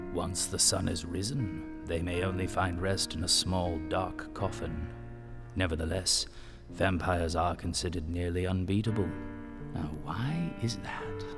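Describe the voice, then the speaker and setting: Over loud music in the background, a man uses a cartoonish character voice with a very deep, low pitch at a moderate pace. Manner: grave, measured.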